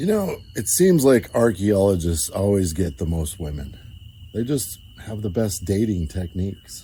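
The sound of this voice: A man's fairly low, somewhat breathy voice with a dark, mellow tone, lively intonation and a fairly slow pace.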